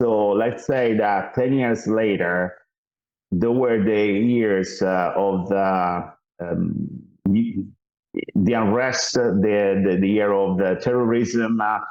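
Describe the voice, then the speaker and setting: At a very slow pace and very even loudness, the speaker uses an Italian accent and fairly even intonation, with audible room echo. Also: man, fairly low pitch for a man. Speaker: mission founder. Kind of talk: interview. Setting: podcast. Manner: halting, many fillers and repeats.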